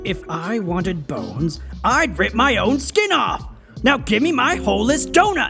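A man uses a raised, projected cartoonish character voice over clear background music. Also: moderate pace. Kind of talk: cartoon comic overacting. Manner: eager, then shouting.

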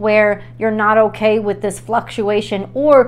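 Here a woman speaks. Her pace is fairly slow. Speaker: tarot reader. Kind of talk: tarot reading monologue. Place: home room. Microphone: lapel.

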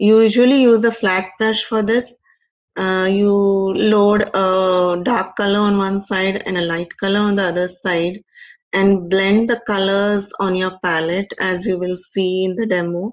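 Against a quiet background, a woman speaks at a fairly slow pace. Her medium pitch stays in a monotone, flat intonation. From India, Mumbai. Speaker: painter; presenter. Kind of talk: interview; tutorial. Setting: video call. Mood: calm, explanatory. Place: home room. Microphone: video call.

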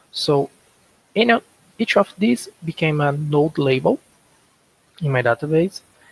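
A somewhat breathy voice with a Portuguese accent, speaking at a fairly slow pace with long, frequent pauses. The intonation is lively, and the sound is dry with no echo. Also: man. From Brazil. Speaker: software developer. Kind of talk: conference lightning talk. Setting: video call. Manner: halting. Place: home room. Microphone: headset.

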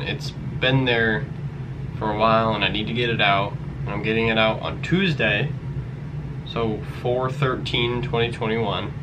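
Long pauses come often in this speech, with ordinary pitch variation. Background noise is noticeable. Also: man. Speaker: vlogger. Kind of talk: casual vlog chat. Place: home room. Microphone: webcam.

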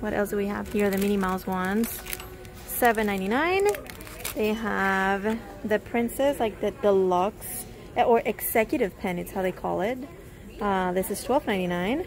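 The voice has ordinary pitch variation, with faint music playing in the background. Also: woman, moderate pace. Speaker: shopping vlogger. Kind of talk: casual vlog chat. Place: shop. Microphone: phone near.

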